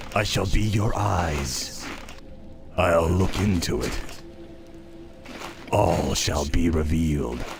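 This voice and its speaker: A man's put-on character voice, very deep and low, at a very slow pace over clear background music. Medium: machinima.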